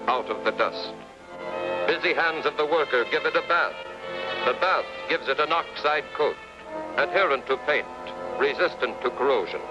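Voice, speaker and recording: Music playing behind a man speaking at a moderate pace. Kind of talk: documentary newsreel narration. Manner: rhythmic, declamatory.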